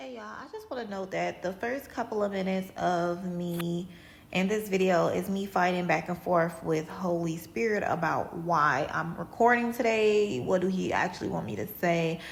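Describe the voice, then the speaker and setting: With audible room echo, a woman of fairly low pitch talks at a moderate pace with lively intonation and hardly any pauses. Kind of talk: testimony. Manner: halting, stumbles on words.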